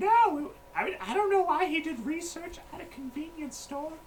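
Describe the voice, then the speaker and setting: Someone does a put-on character voice at an extremely high pitch. The pace is moderate, with clear background noise behind it. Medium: actual play. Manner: rambling, absent-minded.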